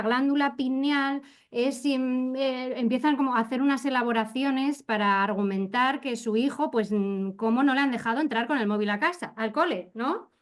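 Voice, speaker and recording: Her high-pitched voice moves at a fairly slow pace, and this woman's pitch varies in an ordinary way. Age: 40s. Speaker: educator. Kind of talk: panel discussion.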